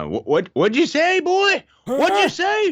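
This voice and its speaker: A man puts on a creaky, loud character voice at an extremely high pitch, speaking at a fairly slow pace. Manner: loud, confused.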